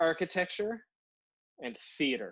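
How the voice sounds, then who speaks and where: This man speaks with a Newfoundland accent at a moderate pace. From Newfoundland, Canada. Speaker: podcast co-host and actor. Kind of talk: casual chat.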